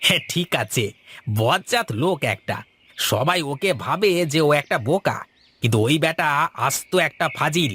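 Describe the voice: In a cartoonish character voice, a man speaks at a moderate pace with a fairly high pitch, a bright, sharp tone and a slightly husky edge. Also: lively intonation.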